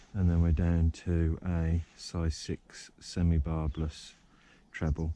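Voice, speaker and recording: With a very deep, low pitch and a dark, mellow tone, a man speaks in a monotone, flat way. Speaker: angling vlogger. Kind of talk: outdoor vlog narration. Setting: outdoors by a river. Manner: quiet, keeping voice down; hesitant, many fillers.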